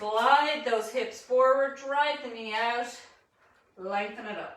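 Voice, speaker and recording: With an Irish accent, a woman speaks with ordinary pitch variation in a room with audible echo. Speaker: fitness instructor. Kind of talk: live online fitness class instruction.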